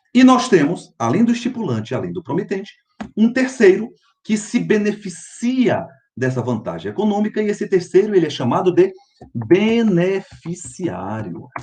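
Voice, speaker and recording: With music in the background, a man talks at a moderate pace in a high pitch, his voice making very wide pitch swings. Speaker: law professor. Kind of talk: lecture.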